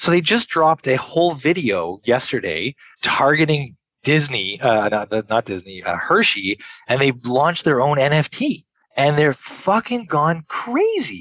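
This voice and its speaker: With a Montreal accent, a man speaks at a fairly slow pace, his fairly high pitch swinging very widely. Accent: Canadian English (Montreal). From Montreal, Quebec, Canada. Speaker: entrepreneur. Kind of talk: casual interview.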